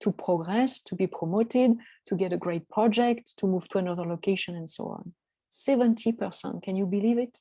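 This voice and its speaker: A woman speaks with a dark, mellow tone and ordinary pitch variation. The sound is dry and close, with no echo. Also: medium pitch for a woman. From France. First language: French. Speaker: coach. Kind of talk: online presentation. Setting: video call. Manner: halting, many fillers.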